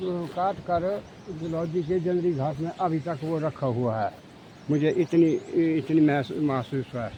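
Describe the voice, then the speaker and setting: A man's high voice with ordinary pitch variation. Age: 70s. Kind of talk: interview answer, telling a story.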